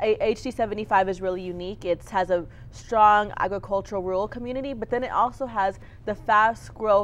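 In an American accent, a woman uses a normal speaking voice at medium pitch. Her intonation is fairly even. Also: moderate pace. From Texas (Clint, El Paso County). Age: 20s. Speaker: political candidate. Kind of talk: interview.

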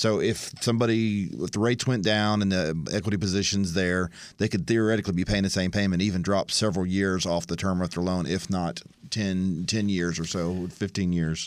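The speech comes at a fairly quick pace with fairly even intonation and very even loudness. The recording is very clean, with a silent background. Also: man, very deep, low pitch for a man. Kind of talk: radio chat.

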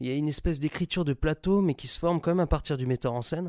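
Over a very clean, silent background, a man with a fairly high voice talks at a very fast pace with ordinary pitch variation, the sound dry and close with no echo. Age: 20s. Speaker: actor. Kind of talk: recorded interview. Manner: casual and animated.

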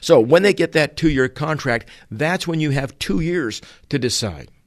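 A man with an American accent talks at a moderate pace in a normal speaking voice, with ordinary pitch variation. The background is quiet. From Utah and Massachusetts, US. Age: 60s. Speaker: automotive trainer. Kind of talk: opinion monologue. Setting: away from home.

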